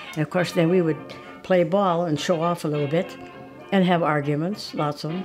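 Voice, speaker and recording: A woman with an American accent, fairly low in pitch and fairly quick in pace, over background music. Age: 80s+. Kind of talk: interview answer.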